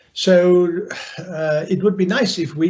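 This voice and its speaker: A man speaks in a somewhat breathy voice. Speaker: political and economic analyst. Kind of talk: talk to business audience on video call.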